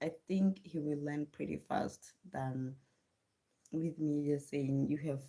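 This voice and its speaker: A woman with a South African accent speaks at a very slow pace with fairly even intonation. Her very deep, low pitch carries a dark, mellow tone. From South Africa, Venda region. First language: Tshivenda. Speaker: livestreamer and homeschooling mother. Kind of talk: casual live stream chat.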